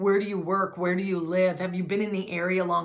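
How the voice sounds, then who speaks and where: A woman at medium pitch, with audible room echo and noticeable background noise. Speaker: hairdresser and hair color educator. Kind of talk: tutorial. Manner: loud.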